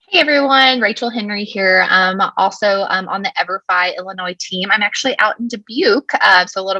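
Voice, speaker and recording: A woman's bright, sharp voice at medium pitch with a slight Texan accent, a moderate pace, ordinary pitch variation, and a dry, close sound with no echo. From Texas. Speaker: education company representative, former teacher. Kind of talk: webinar presentation.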